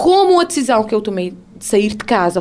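A woman's voice at a moderate pace. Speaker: radio presenter sharing her story of abuse. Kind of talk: testimony, personal account of domestic abuse. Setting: radio studio. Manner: halting, reflective, pausing and restarting sentences.

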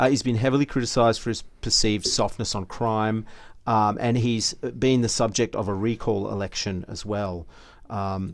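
Speaking with an Australian accent, a man uses a fairly low pitch and fairly even intonation in a very clean recording with a silent background. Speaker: podcast co-host. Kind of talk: casual chat.

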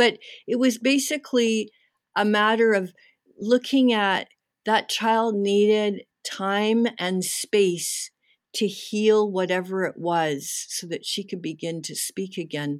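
The woman's pitch sits in the medium range, with ordinary pitch variation. She speaks at a very slow pace. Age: 60s. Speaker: activist and art therapist. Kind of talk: interview.

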